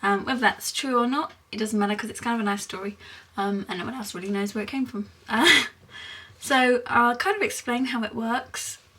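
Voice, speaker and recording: A woman with a British accent talks at a fairly quick pace and fairly high pitch, with ordinary pitch variation. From England, Essex. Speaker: vlogger. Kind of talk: casual explainer vlog. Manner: hesitant, many fillers.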